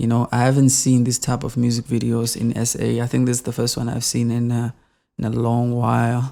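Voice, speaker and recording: A man speaks at a fairly quick pace in a medium pitch, with a dark, mellow tone and flat, monotone intonation. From South Africa. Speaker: YouTuber reviewing music videos. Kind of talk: casual commentary video review. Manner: halting, with frequent fillers and repetitions.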